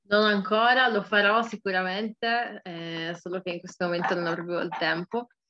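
A woman speaks at a medium pitch and a moderate pace with hardly any pauses. Noticeable background noise is present. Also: fairly even intonation. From Turin, Italy. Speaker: rapper. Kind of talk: interview. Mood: relaxed, cheerful. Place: home room. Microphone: webcam.

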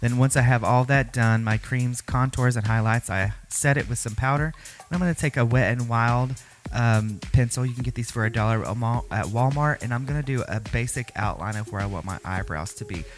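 A man's fairly quick speech with ordinary pitch variation, clear music in the background. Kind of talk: makeup tutorial. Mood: sassy, upbeat. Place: home room.

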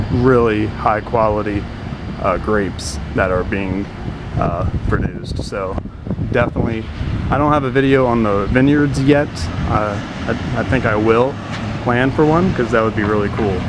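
The speech moves at a moderate pace with long, frequent pauses. Background noise is noticeable. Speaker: local tour guide. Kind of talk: casual vlog chat. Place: street. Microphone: phone near.

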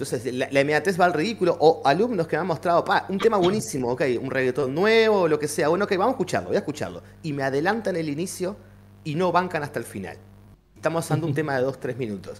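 A man talks at a very fast pace. His pitch is fairly high. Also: lively intonation. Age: 40s. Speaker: teacher. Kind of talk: casual chat. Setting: live stream. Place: home room. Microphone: video call.

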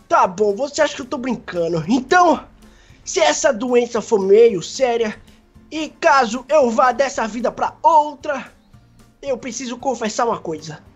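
A woman's whiny, high-pitched put-on character voice with a whiny tone at a moderate pace, with faint music in the background. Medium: machinima. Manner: whiny, fearful, melodramatic.

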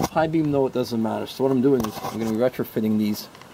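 Against noticeable background noise, a man talks at a very fast pace with ordinary pitch variation and a dry sound with no echo. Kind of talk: tutorial. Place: open country.

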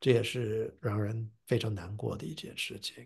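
Somewhat breathy and medium in pitch, a man speaks at a fairly slow pace with lively intonation. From US (New Jersey). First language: English (speaking Chinese). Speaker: professor and translator. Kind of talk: interview. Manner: halting with fillers and repetitions.

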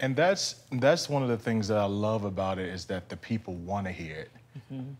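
A man speaks at a moderate pace with ordinary pitch variation. His voice sits fairly low. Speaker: talk show host. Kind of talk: interview. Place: studio.

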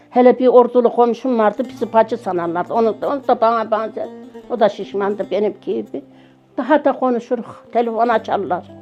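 Music plays in the background. A woman speaks with a fairly high pitch and lively intonation. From central Anatolia, Yozgat. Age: 70s. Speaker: village widow telling life story. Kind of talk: life story interview.

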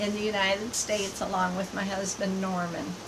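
A woman against noticeable background noise. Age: 60s. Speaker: missionary and live broadcaster. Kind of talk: live online broadcast answering viewer questions. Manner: friendly, chatty, halting. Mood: earnest, preaching. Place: home room. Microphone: phone near.

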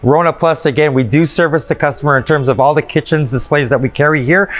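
Ordinary pitch variation in a man's speech. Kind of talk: interview answer. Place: shop.

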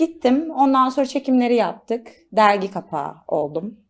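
A woman's ordinary speaking voice, lively intonation at a moderate pace. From Istanbul, Turkey. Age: 20s. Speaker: model and stylist. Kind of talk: studio interview. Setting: studio.

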